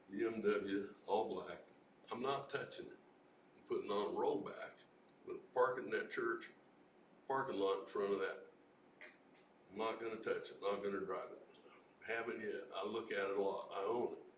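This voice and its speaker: In a room with audible echo, a man talks with big swings in loudness and long, frequent pauses. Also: moderate pace. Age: 70s. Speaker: Vietnam veteran. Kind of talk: open mic testimony. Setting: recovery meeting open mic, livestreamed.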